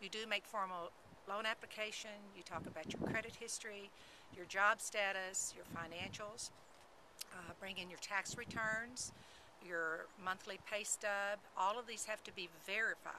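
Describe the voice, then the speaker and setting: In a Texas accent, a woman speaks at medium pitch with fairly even intonation and big swings in loudness over noticeable background noise. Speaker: real estate agent. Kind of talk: informational talk to camera.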